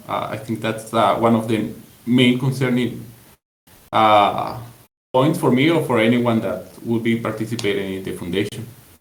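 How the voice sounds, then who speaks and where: There is audible room echo around a man speaking with a Spanish accent. His intonation stays fairly even. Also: medium pitch for a man, moderate pace. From Latin America. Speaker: community member. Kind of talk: group call discussion. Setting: voice call on Discord. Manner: halting, many fillers.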